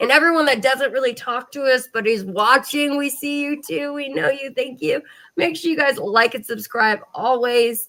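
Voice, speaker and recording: A woman's high, raised, projected voice, bright and sharp, with ordinary pitch variation at a moderate pace. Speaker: podcast host. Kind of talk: casual chat.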